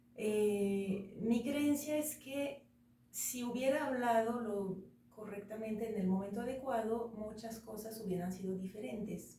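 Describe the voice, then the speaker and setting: With a dark, mellow tone and a somewhat breathy quality, a woman speaks at a fairly high pitch and a fairly slow pace, with ordinary pitch variation and audible room echo. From France. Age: 40s. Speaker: interview guest. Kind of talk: casual interview.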